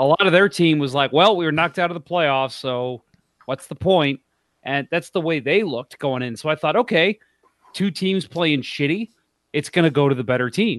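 A man with an unremarkable speaking voice of fairly high pitch talks at a moderate pace with ordinary pitch variation, the sound dry and close with no echo. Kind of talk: casual, irreverent sports banter. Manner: joking, profane, sarcastic.

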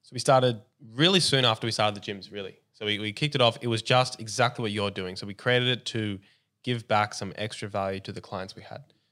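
Recorded very cleanly against a silent background, a man with an Australian accent talks at a very fast pace, his fairly low voice bright and sharp, with ordinary pitch variation and big swings in loudness. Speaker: podcaster and gym owner. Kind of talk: casual interview chat.

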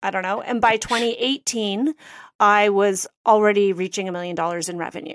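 A woman with a Canadian accent, an unremarkable speaking voice at medium pitch, a fairly quick pace, ordinary pitch variation and a dry, close sound with no echo. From Canada (Toronto). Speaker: interior designer and business coach. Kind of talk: interview.

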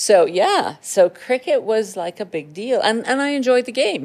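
The woman's pitch swings very widely at a moderate pace. The recording is very clean, with a silent background. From Trinidad. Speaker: breast cancer surgeon. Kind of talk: casual interview.

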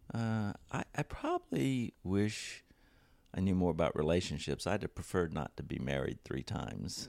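With a very deep, low pitch, a man speaks at a moderate pace with lively intonation in a dry, close sound with no echo. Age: 60s. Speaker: computer scientist. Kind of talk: casual interview.

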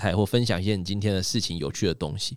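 Captured in a very clean recording with a silent background, a man talks at a very fast pace. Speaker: magician and livestreaming executive. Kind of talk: casual interview chat. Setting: studio. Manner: crisp clear articulation.

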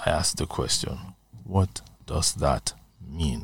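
In a very clean recording with a silent background and a dry, close sound with no echo, a man speaks very slowly with vocal fry. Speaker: veteran broadcaster. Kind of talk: interview.

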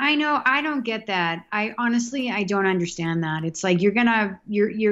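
A woman is speaking. She has a Boston accent. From Massachusetts, South Boston. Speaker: hockey fan. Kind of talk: casual chat.

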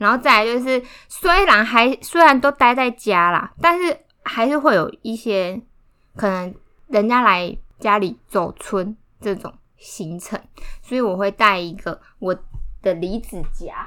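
A woman's bright, sharp voice with lively intonation, a fairly slow pace, and long, frequent pauses. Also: fairly high pitch for a woman. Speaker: podcast co-host. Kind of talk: casual chat.

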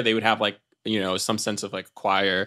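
Here a man with an American accent has a bright, sharp tone and keeps a moderate pace. It is a very clean recording with a silent background. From US Northeast (New York City). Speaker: comedian and writer. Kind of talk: casual chat. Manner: halting.

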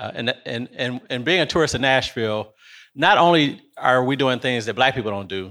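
Heard on a very clean recording with a silent background, a man with an American accent talks at a moderate pace and medium pitch, with ordinary pitch variation and a bright, sharp tone. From Detroit, Michigan. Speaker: entrepreneur, real estate investor. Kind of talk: panel discussion. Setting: stage with audience.

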